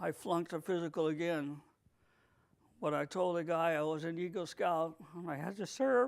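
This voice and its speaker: Speaking with a New England accent at a moderate pace, a man with a high pitch shows ordinary pitch variation. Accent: New England American. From New England, US. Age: 60s. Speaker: war veteran. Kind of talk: interview. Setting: video recording.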